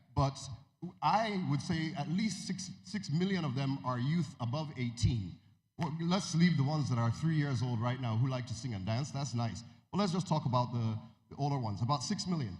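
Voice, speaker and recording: A man's fairly high, somewhat breathy voice with an American accent and lively intonation, at a moderate pace, with audible room echo. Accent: American-tinged. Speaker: music media executive. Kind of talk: keynote speech. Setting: stage with audience. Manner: halting, many fillers.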